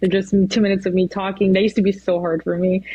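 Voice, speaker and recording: At a very fast pace, a woman speaks at medium pitch. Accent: Spanish. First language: Spanish. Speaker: weather anchor. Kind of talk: casual chat. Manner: hesitant, many fillers.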